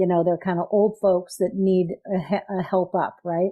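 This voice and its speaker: A woman is speaking. She has an American accent. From US Midwest. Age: 60s. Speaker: patient advocate. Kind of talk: interview.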